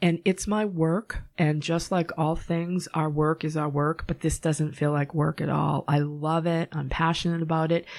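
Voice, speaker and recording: In a Boston accent, a woman with a very deep, low pitch speaks at a moderate pace in a monotone, flat way with hardly any pauses, on a very clean recording with a silent background. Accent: Boston-area pronunciation of her hometown. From Massachusetts, Norwood. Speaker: psychic medium. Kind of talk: casual interview.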